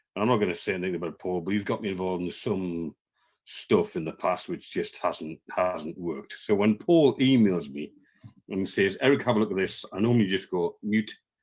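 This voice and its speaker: A man's very deep, low voice at a fairly quick pace, with a strong northern English accent. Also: ordinary pitch variation. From northern England. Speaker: professional trainer. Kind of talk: webinar testimony. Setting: video call. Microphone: bad internet connection.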